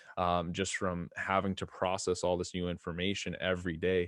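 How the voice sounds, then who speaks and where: Speech at a moderate pace over a quiet background. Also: man. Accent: Canadian. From western Canada, Edmonton, Alberta. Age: 20s. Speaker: supplement company owner. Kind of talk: interview.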